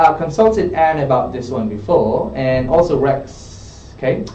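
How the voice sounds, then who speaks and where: Both noticeable background noise and audible room echo come through in this clip. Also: man. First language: not English. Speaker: English test tutor. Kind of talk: live tutoring session. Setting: studio.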